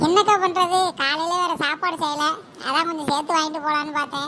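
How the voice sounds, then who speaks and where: Putting on a cartoonish character voice, a woman speaks at an extremely high pitch and a fairly quick pace. Her intonation is fairly even, with clear background noise behind her. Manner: eager, wheedling.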